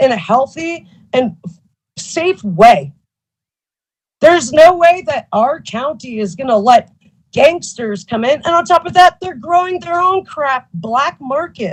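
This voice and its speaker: Delivery is fairly slow. Pitch rises and falls across a very wide range. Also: woman. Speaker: public commenter at county meeting. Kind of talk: public comment. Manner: agitated, emotional.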